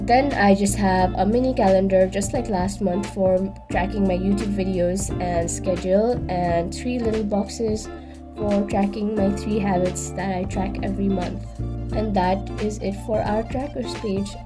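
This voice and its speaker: Music runs behind the voice. A woman talks at a fairly slow pace. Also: hardly any pauses. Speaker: bullet journal YouTuber. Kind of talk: casual talk to camera.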